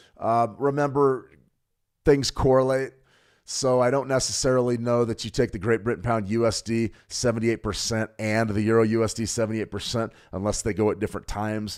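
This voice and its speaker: With an American accent, a man talks at a fairly quick pace, his medium pitch following a fairly even intonation. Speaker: trading educator. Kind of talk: livestream market analysis. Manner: fast; casual with self-corrections.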